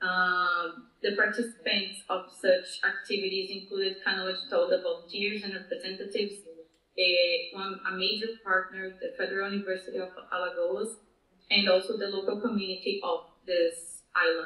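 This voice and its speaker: A woman's monotone, flat delivery with audible room echo. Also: moderate pace. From Brazil. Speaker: project manager at a mapping nonprofit; panelist. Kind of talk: conference presentation. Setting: video call. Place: meeting room.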